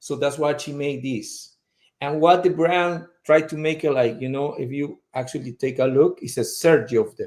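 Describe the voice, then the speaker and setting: A man with a fairly high pitch, a strong non-native accent and fairly even intonation. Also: moderate pace. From Peru. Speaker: fragrance brand representative. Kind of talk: casual interview chat.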